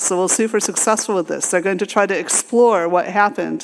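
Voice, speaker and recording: Pitch varies in an ordinary way as someone talks in an American accent. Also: woman. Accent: American and British. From United States. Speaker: AI researcher and conference speaker. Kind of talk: conference talk. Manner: halting, many fillers and restarts.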